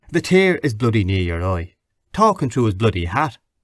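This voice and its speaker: In a very clean recording with a silent background, a man with a Dublin accent talks at a moderate pace in a fairly low pitch. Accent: Irish, Dublin. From Dublin, Ireland. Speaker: audiobook narrator. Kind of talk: audiobook reading of a classic novel.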